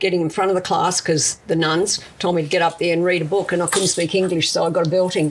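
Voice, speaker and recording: Speaking with an Australian accent, a woman with a fairly low voice talks at a very fast pace. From South Australia (Italian-born, came as a child). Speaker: fashion designer and business founder. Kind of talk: interview.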